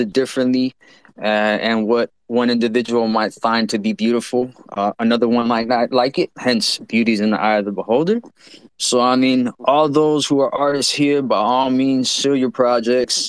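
A man with an unremarkable speaking voice speaks at a medium pitch and moderate pace, his intonation fairly even and his loudness very even. The sound is dry and close with no echo. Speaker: NFT community member. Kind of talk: casual discussion.

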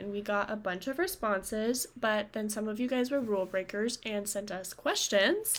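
A woman's ordinary speaking voice, fairly high in pitch, at a fairly slow pace with ordinary pitch variation. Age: 20s. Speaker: podcast co-host. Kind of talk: casual chat; reading aloud.

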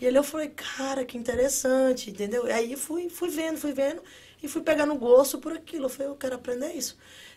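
A woman speaks at a high pitch. She talks at a fairly quick pace. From Brazil. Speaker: construction worker and social media influencer. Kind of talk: casual interview. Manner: animated.

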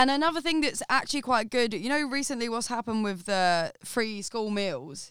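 In an Essex accent, the speaker moves at a moderate pace with hardly any pauses and lively intonation. The recording is very clean, with a silent background. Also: woman, fairly high pitch for a woman. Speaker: podcast guest, studio worker. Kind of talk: casual chat. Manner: animated.

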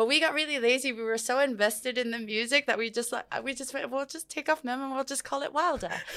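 Over noticeable background noise, a woman in a Samoan accent speaks at a very fast pace in a raised, projected voice, with a high pitch and fairly even intonation. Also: hardly any pauses. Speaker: musician. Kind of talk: casual interview.

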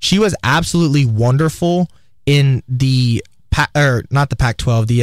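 A man with an ordinary speaking voice talks at a medium pitch and moderate pace, with ordinary pitch variation and very even loudness, the sound dry and close with no echo. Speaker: student radio sports host. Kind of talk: casual sports talk. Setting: radio studio.

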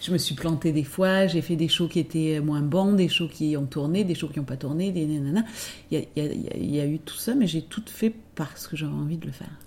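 A woman with a very deep, low pitch talks at a fairly quick pace, somewhat breathy, with ordinary pitch variation. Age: 50s. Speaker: dancer and choreographer. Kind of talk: interview. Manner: halting.

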